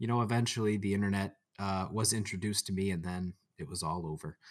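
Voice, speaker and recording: A man with a fairly low pitch talks with a Michigan accent. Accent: Michigan American. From Michigan, near Detroit. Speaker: engineer, podcast co-host. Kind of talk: casual chat. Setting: video call.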